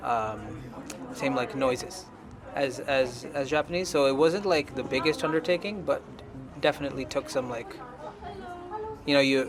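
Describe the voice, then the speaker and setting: Over music in the background and audible room echo, a man with a fairly high pitch talks at a moderate pace, leaving long, frequent pauses. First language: Tamil. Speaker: band singer and producer. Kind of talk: interview. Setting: at an anime convention.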